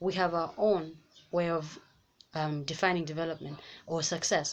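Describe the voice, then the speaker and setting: A woman speaks with a Malawian accent. Her pace is fairly quick. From Zambia. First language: Nyanja. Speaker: YouTuber. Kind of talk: vlog commentary. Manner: animated; halting.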